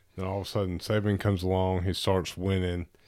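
With a Southern US accent, a man speaks at a moderate pace in a very deep, low pitch and monotone, flat intonation, on a very clean recording with a silent background. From Alabama, Tuscaloosa. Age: 30s. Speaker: father. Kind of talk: casual chat.

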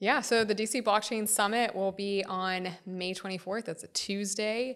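A woman speaks with an American accent in an ordinary speaking voice. Her pitch is medium, with fairly even intonation. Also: very clean recording, silent background. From Florida, US. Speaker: founder of a trade association. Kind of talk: interview.

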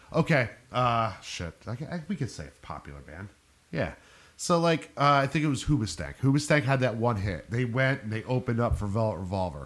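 There is vocal fry in this man's voice, with very wide pitch swings and big swings in loudness. The recording is very clean, with a silent background. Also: medium pitch for a man, fairly quick pace. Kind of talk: casual chat. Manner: casual, swears often.

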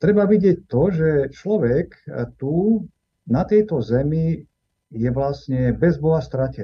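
This man has a fairly high pitch and lively intonation. He speaks at a very slow pace. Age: 60s. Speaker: Orthodox priest. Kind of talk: interview.

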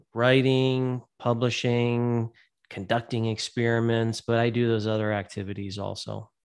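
In a very clean recording with a silent background, a man with an unremarkable speaking voice keeps his intonation fairly even. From Ohio, Youngstown area. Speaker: special education professor. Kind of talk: interview.

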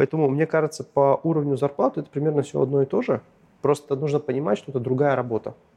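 In a dry, close recording with no echo, a man talks at a very fast pace and a fairly high pitch. His tone is dark and mellow, with fairly even intonation. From northern Russia, Arkhangelsk region. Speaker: tech product director. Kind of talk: interview.

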